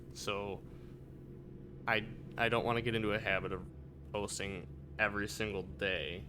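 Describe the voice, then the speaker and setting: A man with an American accent speaks at a fairly low pitch, breaking often with long pauses. Room echo is audible. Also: ordinary pitch variation, moderate pace. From Michigan. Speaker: gaming video creator. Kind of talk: casual gameplay commentary. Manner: casual, rambling.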